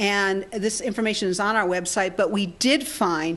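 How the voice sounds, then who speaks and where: A woman with an American accent, over noticeable background noise. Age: 60s. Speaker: healing technology researcher and speaker. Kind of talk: seminar talk. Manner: conversational, with many fillers and repetitions.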